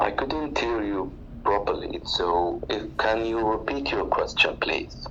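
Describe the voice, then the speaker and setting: Over noticeable background noise and audible room echo, a man talks at a fairly slow pace. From Oman. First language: Arabic. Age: 40s. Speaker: retiree, language learner. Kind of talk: casual chat. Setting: online audio room.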